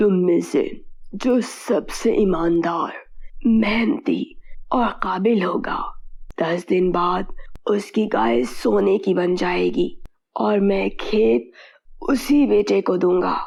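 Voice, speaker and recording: A raspy, medium-pitched cartoonish character voice from a woman, at a very slow pace with long, frequent pauses. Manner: calm, authoritative.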